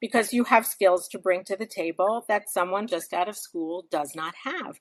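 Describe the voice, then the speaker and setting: The sound is dry and close, with no echo. A woman talks at a medium pitch with ordinary pitch variation. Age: 60s. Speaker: novelist. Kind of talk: casual chat. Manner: animated.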